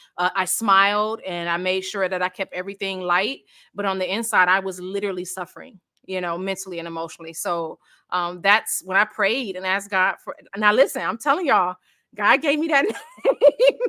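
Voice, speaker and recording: Loud and in a bright, sharp tone, the voice moves at a fairly quick pace. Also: woman, medium pitch for a woman, ordinary pitch variation. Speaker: author launching her book. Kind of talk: casual chat.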